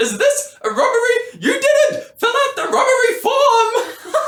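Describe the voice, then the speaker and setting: A put-on character voice at an extremely high pitch moves at a fairly slow pace with a slight echo. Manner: very angry, indignant.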